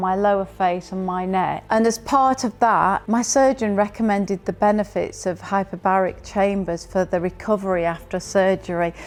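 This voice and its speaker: In a British accent, a woman speaks at a moderate pace and medium pitch, with fairly even intonation and hardly any pauses. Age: 60s. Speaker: customer testimonial, entrepreneur. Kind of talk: testimony.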